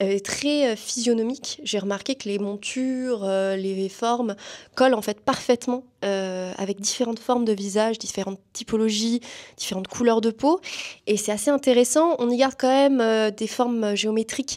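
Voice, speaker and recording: Her pitch is fairly high, and it varies in an ordinary way. The woman speaks at a moderate pace. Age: 20s. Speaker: student and performer. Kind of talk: interview. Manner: hesitant, many fillers.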